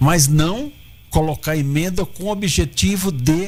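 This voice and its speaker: A man speaks at a fairly slow pace with a fairly high pitch and ordinary pitch variation. His voice is somewhat breathy. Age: 70s. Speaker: political candidate. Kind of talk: radio interview.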